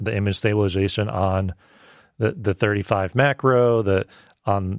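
With an ordinary speaking voice, a man talks at a moderate pace and a fairly low pitch, the sound dry and close with no echo. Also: quiet background. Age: 30s. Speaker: video producer and filmmaker. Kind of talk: casual chat.

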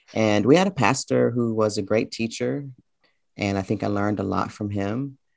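A man with an American accent speaks at a moderate pace in a fairly low pitch, with lively intonation. It is a normal speaking voice. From US South, Memphis, Tennessee. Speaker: college professor and poet. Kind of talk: interview. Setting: video call.

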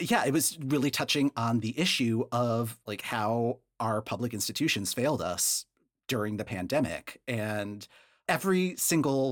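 A man talks in an ordinary speaking voice at medium pitch and a fairly slow pace, with ordinary pitch variation. The recording is very clean with a silent background. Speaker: guest podcast co-host and Eurovision fan.

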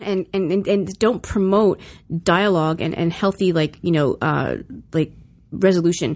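An American accent marks this woman's fairly low-pitched voice, which has vocal fry. The recording is very clean, with a silent background. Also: fairly even intonation, moderate pace. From US South. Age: 40s. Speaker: guest. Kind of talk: casual chat.

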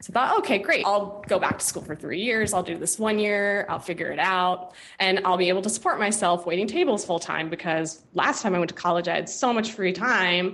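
A woman with an American accent talks at a fairly quick pace, with hardly any pauses. She has an unremarkable speaking voice, medium in pitch, with fairly even intonation. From US, San Francisco Bay Area. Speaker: web designer and developer. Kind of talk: interview.

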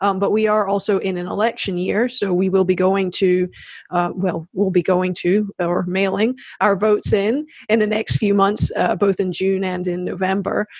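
A woman talks in an ordinary speaking voice with an American accent at a medium pitch. Her pace is moderate and her intonation fairly even. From South Carolina. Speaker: podcast host. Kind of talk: interview. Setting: remote video call.

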